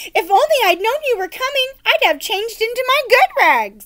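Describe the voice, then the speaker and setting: A woman's squeaky, put-on character voice at an extremely high pitch, with lively intonation. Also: moderate pace. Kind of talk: lower-class country speech. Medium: read story. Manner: chatty, common.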